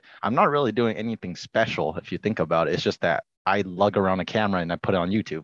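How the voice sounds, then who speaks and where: Against a quiet background, a man talks very fast at a fairly low pitch. His pitch varies in an ordinary way, and the sound is dry and close with no echo. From Washington State, US. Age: 20s. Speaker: hunting YouTube creator. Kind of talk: casual interview chat.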